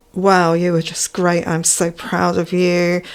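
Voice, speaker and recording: A woman is speaking. Her pitch is fairly low. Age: 60s. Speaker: amateur recorder player and video blogger. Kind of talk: casual vlog talk. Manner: hesitant, with many fillers.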